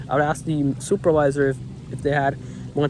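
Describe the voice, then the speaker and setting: A man talks at a very fast pace. Noticeable background noise fills the clip. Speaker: vlogger. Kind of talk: rant. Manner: animated.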